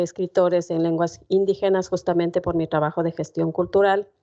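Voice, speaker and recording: A woman's dark, mellow tone, fairly low in pitch with fairly even intonation. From Ecuador, Otavalo (Kichwa community). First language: Kichwa (speaking Spanish). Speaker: poet. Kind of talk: talk to university class. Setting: university classroom with audience. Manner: many filler sounds (eh, em).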